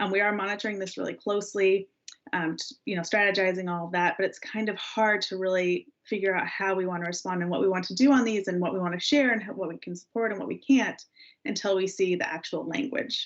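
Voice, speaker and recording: A woman at a very fast pace, with ordinary pitch variation. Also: medium pitch for a woman. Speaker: legislative affairs staff presenting to a parks board. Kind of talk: board meeting report.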